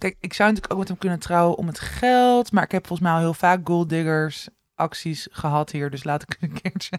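A woman's fairly low voice, a normal speaking voice, at a moderate pace with ordinary pitch variation and hardly any pauses, in a dry, close sound with no echo. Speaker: podcast co-host. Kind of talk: casual chat. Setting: co-host's living room.

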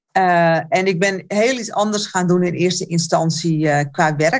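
An ordinary speaking voice at a moderate pace with ordinary pitch variation, in a very clean recording with a silent background. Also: woman. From Netherlands, Alkmaar. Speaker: therapist and coach. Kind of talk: casual interview chat.

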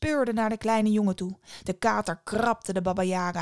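Fairly even intonation in plain reading aloud

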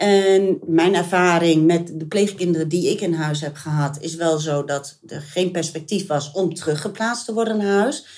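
At a moderate pace, a woman uses a normal speaking voice, fairly low in pitch with ordinary pitch variation. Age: 50s. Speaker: mother and foster parent. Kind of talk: interview.

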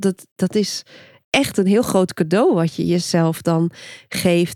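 Using a normal speaking voice, a woman talks at a fairly slow pace and medium pitch. Her pitch varies in an ordinary way, and the sound is dry and close with no echo. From Friesland, Netherlands. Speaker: podcast host, book coach. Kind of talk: casual interview chat.

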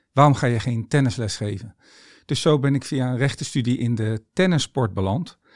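A man talks in an unremarkable speaking voice at a medium pitch and moderate pace. The recording is very clean with a silent background, and his pitch variation is ordinary. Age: 50s. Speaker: tennis coach and author. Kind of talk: monologue about mindset.

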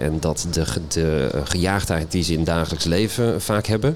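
Very deep, low tones from a man, normal pitch movement, and room echo that can be heard. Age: 40s. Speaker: boating vlogger. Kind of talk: casual interview. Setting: live stage at boat show.

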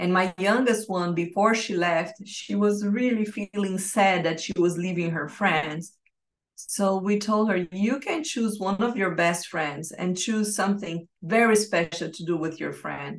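A woman with a Portuguese accent at a medium pitch, ordinary pitch variation and a fairly slow pace. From Brazil. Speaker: life and business coach. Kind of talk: interview. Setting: remote call.

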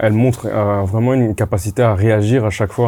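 The recording is very clean, with a silent background. A man with a fairly low pitch and a dark, mellow tone speaks at a fairly quick pace. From Congolese heritage. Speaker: football pundit. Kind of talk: casual football talk show. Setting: studio.

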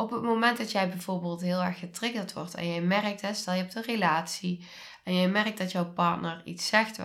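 Bright and sharp in tone, a woman's voice sits at medium pitch with ordinary pitch variation. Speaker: podcast host and trauma coach. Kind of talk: solo podcast monologue. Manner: warm.

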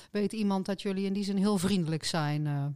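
With a normal speaking voice, a woman at a medium pitch talks at a fairly quick pace with ordinary pitch variation, on a very clean recording with a silent background. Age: middle-aged. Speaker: podcast co-host, political candidate. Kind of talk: casual chat.

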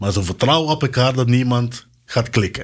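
A man speaks with ordinary pitch variation. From Curaçao. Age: 40s. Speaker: military sergeant, war veteran. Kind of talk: interview testimony.

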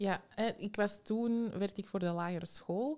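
With fairly even intonation, a woman speaks in a dark, mellow tone. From Belgium, Antwerp. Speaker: psychological consultant and educator. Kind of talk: interview.

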